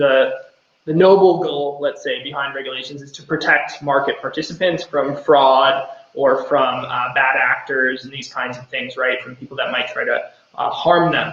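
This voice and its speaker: A man with an American accent at a moderate pace. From United States. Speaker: company co-founder and CEO. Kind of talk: live Q&A session. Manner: hesitant with many fillers.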